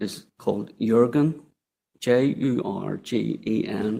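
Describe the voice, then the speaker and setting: Speaking very slowly in an Irish accent, a man has a dark, mellow tone, medium pitch and ordinary pitch variation. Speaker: former council chief executive, inquiry witness. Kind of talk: inquiry testimony. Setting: public inquiry hearing room.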